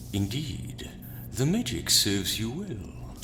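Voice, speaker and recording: A man's put-on character voice, fairly low in pitch and fairly slow, with loud background noise. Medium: audio drama. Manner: smooth, flattering.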